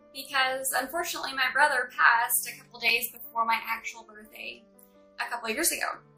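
A woman's high voice with an American accent at a moderate pace, with faint music in the background. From Texas. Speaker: beginner vlogger. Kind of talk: casual talk to camera. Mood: warm, grateful, partly somber. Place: home room. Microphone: phone near.

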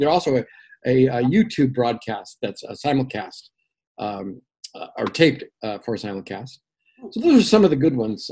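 A man with a dark, mellow tone, very wide pitch swings and big swings in loudness, at a moderate pace against a quiet background. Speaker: radio station general manager and show host. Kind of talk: radio station promo, casual talk about programming. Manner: conversational, enthusiastic, with frequent fillers. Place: home room.

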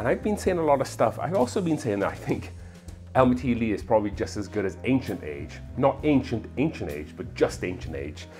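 With faint music in the background, a man talks at a fairly quick pace in a fairly low voice. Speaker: whiskey reviewer host. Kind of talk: casual review commentary. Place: bar. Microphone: lapel.

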